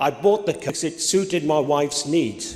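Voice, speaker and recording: A man with a fairly high pitch, ordinary pitch variation and a moderate pace, over noticeable background noise. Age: 60s. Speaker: audience member. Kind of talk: public question. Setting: town hall meeting with audience.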